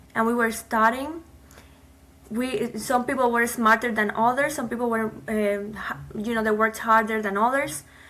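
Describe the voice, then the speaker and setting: A bright, sharp tone in a Cuban accent, with fairly even intonation at a moderate pace. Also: woman, fairly high pitch for a woman. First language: Spanish. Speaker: immigrant, nonprofit founder. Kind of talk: interview.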